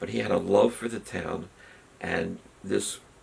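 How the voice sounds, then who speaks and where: A man talks at a fairly slow pace with an American accent. Noticeable background noise runs beneath him. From southern New Jersey and suburban Philadelphia. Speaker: oral history interviewee. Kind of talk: oral history interview. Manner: hesitant, many filler words.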